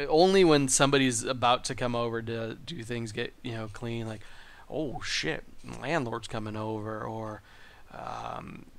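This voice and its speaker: Fairly slow speech from a man, with audible room echo. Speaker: podcast host. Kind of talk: casual monologue. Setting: home studio in living room.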